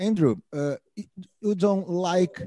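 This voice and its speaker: In a southern Brazilian accent, a man talks at a moderate pace with a dark, mellow tone, the sound dry and close with no echo. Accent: Brazilian Portuguese (gaúcho). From southern Brazil (Rio Grande do Sul). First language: Portuguese. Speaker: podcast co-host. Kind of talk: casual chat. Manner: halting in English.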